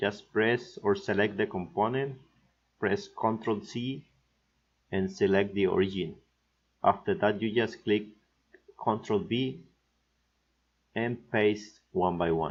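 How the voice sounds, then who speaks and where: A man speaks with a Mexican accent at a fairly low pitch, his pitch varying in an ordinary way. His pace is very slow, broken by long, frequent pauses. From Mexico. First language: Spanish. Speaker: PCB design instructor. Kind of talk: software tutorial narration.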